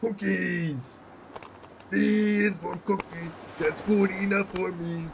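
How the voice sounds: Putting on a gravelly character voice with a high pitch, a man talks at a very slow pace with long, frequent pauses over light background noise.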